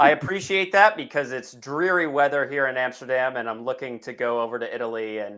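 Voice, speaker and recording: A plain, everyday voice from a man with an American accent, medium in pitch, with ordinary pitch variation and a fairly quick pace. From United States. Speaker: software executive, customer onboarding. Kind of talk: webinar interview.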